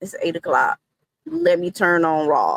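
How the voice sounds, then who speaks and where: A woman with a Southern US accent at a medium pitch, in a dry, close sound with no echo. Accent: Southern drawl. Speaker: wrestling content creator. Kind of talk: interview.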